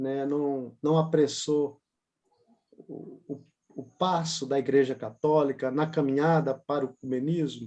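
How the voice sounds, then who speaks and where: This man's voice is fairly high for a man, with a dark, mellow tone and a flat, monotone delivery. His loudness swings widely, and he talks at a fairly slow pace. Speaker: graduate student. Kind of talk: Q&A question.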